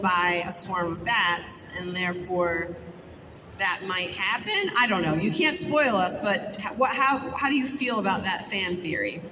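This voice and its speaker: Lively intonation over noticeable background noise, with audible room echo. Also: woman. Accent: American. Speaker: convention panel moderator. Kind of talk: live panel Q&A. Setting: stage with audience. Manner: animated.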